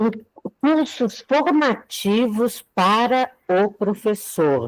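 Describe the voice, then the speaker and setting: A woman with a fairly high pitch speaks very slowly. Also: lively intonation. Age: 70s. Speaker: teacher. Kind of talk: casual chat.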